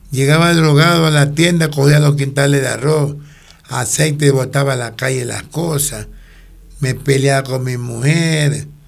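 The man's voice is fairly high-pitched, with monotone, flat intonation. He talks at a fairly slow pace amid audible room echo. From Ecuador, Guayaquil. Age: 60s. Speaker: actor, retired former police officer. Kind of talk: casual interview.

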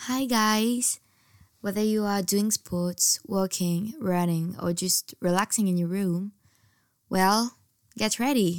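In a very clean recording with a silent background, a woman at a medium pitch speaks at a very slow pace with very even loudness and ordinary pitch variation. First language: French. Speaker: podcast host. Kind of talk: casual chat; scripted intro.

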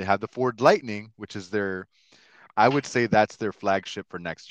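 A man with a fairly low pitch uses an ordinary speaking voice at a fairly quick pace, with ordinary pitch variation, a quiet background and a dry, close sound with no echo. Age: 30s. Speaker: podcast host. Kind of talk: casual chat.

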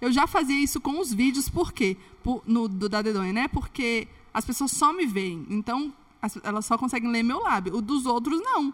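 A woman's high-pitched voice at a moderate pace, lively in intonation, over noticeable background noise. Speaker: former flight attendant turned comedy influencer. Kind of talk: casual chat.

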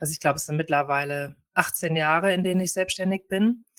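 Here is a woman with a plain, everyday voice at a medium pitch and ordinary pitch variation. She keeps a moderate pace, and the sound is dry and close with no echo. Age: 40s. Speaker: family lawyer retraining as osteopath. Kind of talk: interview conversation.

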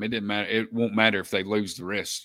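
A man with an Alabama accent has a bright, sharp tone and a fairly low pitch. The recording is very clean with a silent background. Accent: Alabama Southern US. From Alabama, Winston County. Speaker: high school football podcast co-host. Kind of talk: casual sports chat.

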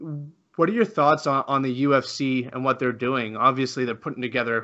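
With a Canadian accent, a man uses a normal speaking voice of medium pitch, talking at a moderate pace with fairly even intonation. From Canada. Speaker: podcast host. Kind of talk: casual interview. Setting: video call.

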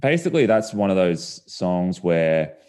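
Ordinary pitch variation marks the delivery, spoken in an Australian accent. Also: man. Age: 30s. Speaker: singer-songwriter. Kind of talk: casual chat.

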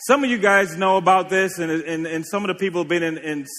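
In a raised, projected voice, a man talks at a high pitch. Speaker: preacher. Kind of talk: sermon.

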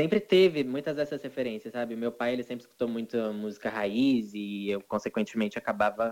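A man with a normal speaking voice talks at medium pitch, shifting it an ordinary amount. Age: 20s. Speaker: singer. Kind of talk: casual chat.

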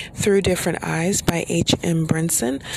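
A woman talks rather slowly, with clearly present noise in the background. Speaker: solo podcast host and author. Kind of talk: solo monologue podcast. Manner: laid back, slow; filler words, says um often.

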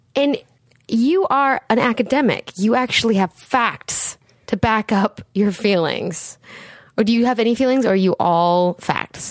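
A woman's animated, fairly high-pitched voice with lively intonation, a fairly slow pace and a dry, close sound with no echo. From Seattle. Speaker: podcast host, sex educator. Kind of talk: casual chat.

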